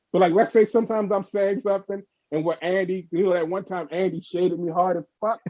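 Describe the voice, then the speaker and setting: In a Baltimore accent, a man speaks in a dry, close recording with no echo. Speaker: artist. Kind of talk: casual chat. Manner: animated.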